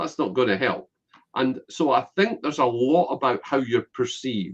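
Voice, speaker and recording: A man speaks at a moderate pace in a Scottish accent. His voice carries vocal fry. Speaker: business networker and connector. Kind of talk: interview.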